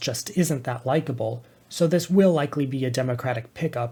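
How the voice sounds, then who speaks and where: The voice has a dark, mellow tone, somewhat breathy, with ordinary pitch variation and a fairly quick pace on a very clean recording with a silent background. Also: man. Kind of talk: political analysis commentary.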